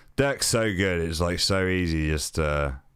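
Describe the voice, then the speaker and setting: Speaking at a very slow pace with ordinary pitch variation, a man is heard in a very clean recording with a silent background. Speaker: musician streamer. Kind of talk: live stream commentary. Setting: live stream. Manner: loud.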